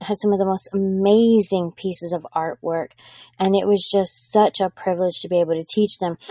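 With fairly even intonation and a medium pitch, a woman speaks in a plain, everyday voice. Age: 40s. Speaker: podcast host and business teacher. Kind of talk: solo teaching podcast.

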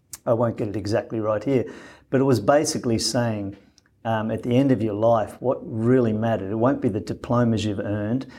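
Speaking at a fairly quick pace in an Australian accent, a man uses a medium pitch and a dark, mellow tone with fairly even intonation. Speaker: former business executive and humanitarian. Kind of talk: interview.

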